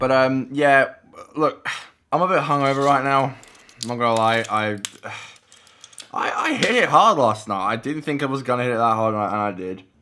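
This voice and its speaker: A man talks at a moderate pace with an Australian accent and ordinary pitch variation. He leaves long, frequent pauses. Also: medium pitch for a man. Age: 20s. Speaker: vlogger. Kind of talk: casual vlog talk to camera. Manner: halting, many repeated words.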